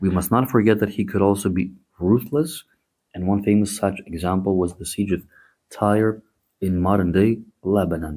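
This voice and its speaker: Speaking with a Greek accent, a man talks at a moderate pace with a fairly low pitch. His tone is dark and mellow, and the recording is very clean with a silent background. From Greece. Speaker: history podcast host. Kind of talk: podcast narration with asides. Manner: animated, conversational.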